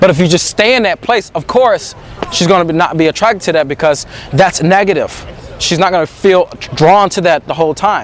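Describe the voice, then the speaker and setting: A man speaks at a fairly quick pace in a high, animated voice with ordinary pitch variation. Noticeable background noise runs underneath. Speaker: dating coach. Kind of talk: monologue to camera. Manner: occasional stutter.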